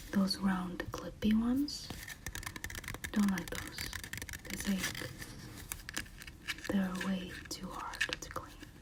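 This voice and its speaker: Whispering comes very slowly, broken by long, frequent pauses, over noticeable background noise. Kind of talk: ASMR tea tasting talk to camera. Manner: soft-spoken, whispered.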